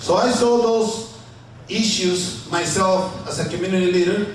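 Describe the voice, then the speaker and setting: Recorded with audible room echo and noticeable background noise, a man with a Spanish accent speaks in a high voice with ordinary pitch variation. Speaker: city council candidate. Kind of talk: candidate forum answer. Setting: banquet room forum with audience.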